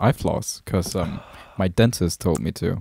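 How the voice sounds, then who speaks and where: A man with a Danish accent speaks at a moderate pace in a very deep, low voice with a dark, mellow tone and ordinary pitch variation. The sound is dry and close with no echo, and the recording is very clean against a silent background. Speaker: podcast co-host. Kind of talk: casual chat. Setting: live stream.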